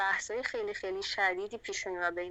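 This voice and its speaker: A woman's bright, sharp voice at medium pitch, with ordinary pitch variation and a fairly quick pace. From Iran, Fars province (Mamasani). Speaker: singer and composer. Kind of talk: interview. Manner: halting.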